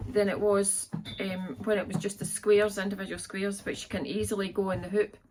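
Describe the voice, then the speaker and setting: A woman's somewhat breathy, medium-pitched voice with a Scottish accent. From Scotland. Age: 50s. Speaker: quilter and vlogger. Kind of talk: casual vlog, show-and-tell of crafts. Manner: chatty.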